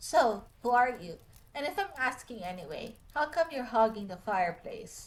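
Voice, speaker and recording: Putting on a gruff character voice, a woman speaks at a moderate pace with a high pitch, very wide pitch swings and big swings in loudness. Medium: game stream. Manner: terse, dry.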